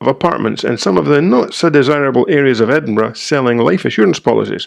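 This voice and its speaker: Scottish accent from a man with a medium pitch and lively intonation over a quiet background. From Scotland. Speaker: real estate trainer. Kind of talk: reading aloud.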